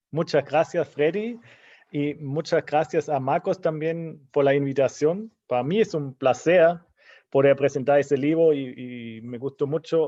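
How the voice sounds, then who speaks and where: A man with a German accent at a fairly slow pace, fairly high in pitch with ordinary pitch variation. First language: German (speaking Spanish). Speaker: historian, book commentator. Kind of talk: book launch talk.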